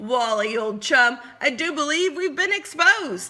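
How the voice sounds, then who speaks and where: A woman puts on a character voice, pitched high. She delivers it at a moderate pace. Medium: read story. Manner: genteel, falsetto-ish.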